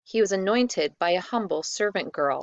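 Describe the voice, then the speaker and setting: A female-sounding, put-on character voice comes through at a medium pitch for a woman. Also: moderate pace. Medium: read story. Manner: eager, animated.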